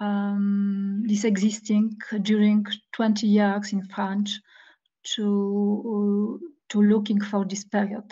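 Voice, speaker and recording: A woman's very slow, somewhat breathy voice of medium pitch, dark and mellow in tone, monotone and flat, over a quiet background. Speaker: historian, guest lecturer. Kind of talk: Q&A discussion after lecture. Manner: halting, many hesitations.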